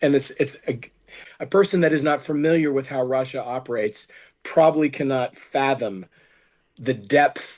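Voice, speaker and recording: A man with a normal speaking voice in an American accent, at a moderate pace. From United States. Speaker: film producer. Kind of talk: interview.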